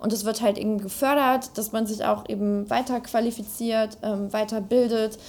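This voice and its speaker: The speech has monotone, flat intonation. There are hardly any pauses. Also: woman, fairly high pitch for a woman, moderate pace. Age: 20s. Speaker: politician. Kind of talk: interview.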